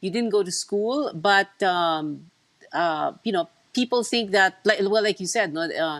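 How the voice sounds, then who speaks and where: At a fairly slow pace, a woman with a Filipino accent speaks at a medium pitch with ordinary pitch variation. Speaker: news anchor. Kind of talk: interview.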